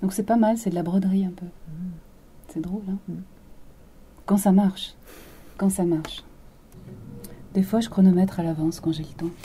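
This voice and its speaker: A woman with a calm tone speaks at medium pitch with long, frequent pauses over noticeable background noise. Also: fairly even intonation, moderate pace. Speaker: radio presenter. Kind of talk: interview. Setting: studio.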